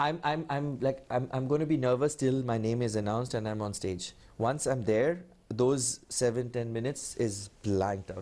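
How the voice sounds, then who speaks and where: With an Indian accent, a man speaks in a dark, mellow tone with ordinary pitch variation against a quiet background. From India (Kolkata). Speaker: public speaking champion. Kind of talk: TV interview. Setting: TV studio. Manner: fast when nervous; clearly articulated.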